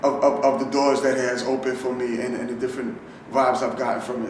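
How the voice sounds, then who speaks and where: Very fast speech from a medium-pitched man amid noticeable background noise. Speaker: spoken word poet. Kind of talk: interview answer.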